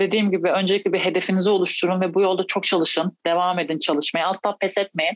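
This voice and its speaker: A woman at a medium pitch speaks at a very fast pace with hardly any pauses, in a monotone, flat intonation and very even loudness, the sound dry and close with no echo. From Turkey, İzmir. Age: 30s. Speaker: professional basketball player. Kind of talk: interview. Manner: hesitant, many fillers.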